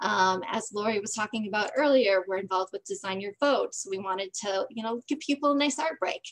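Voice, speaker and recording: A woman talks in a normal speaking voice at a fairly high pitch with ordinary pitch variation. Her pace is fairly quick, and the background is quiet. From Green Bay, Wisconsin; Wisconsin. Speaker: voting advocacy group organizer; presenter. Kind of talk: presentation. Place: home room. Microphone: video call.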